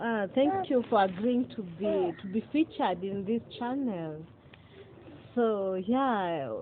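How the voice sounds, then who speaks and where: A woman talks at a very slow pace with lively intonation. Noticeable background noise runs under her voice. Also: medium pitch for a woman. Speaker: YouTube talk show host. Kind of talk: interview.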